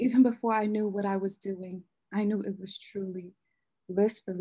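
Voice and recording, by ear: Fairly even intonation and a quiet background while reading aloud in a natural voice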